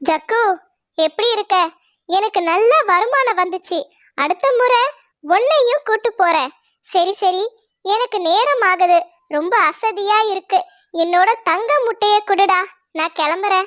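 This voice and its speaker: An extremely high-pitched cartoonish character voice at a very slow pace. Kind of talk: cartoon moral story acting.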